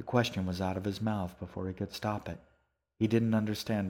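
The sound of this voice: Set against a quiet background, an unforced reading voice carries fairly even intonation.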